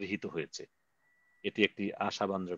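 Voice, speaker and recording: A man speaks at a fairly low pitch with fairly even intonation. The sound is dry with no echo over a quiet background. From Bangladesh. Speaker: meeting moderator. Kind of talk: online protest meeting moderation. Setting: video call. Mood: earnest, measured. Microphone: video call.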